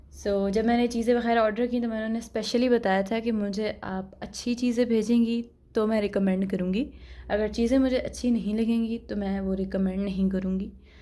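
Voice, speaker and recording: Fairly high-pitched woman's voice with a dark, mellow tone and monotone, flat intonation. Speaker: beauty and product review vlogger. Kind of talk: product review vlog. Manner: casual, conversational.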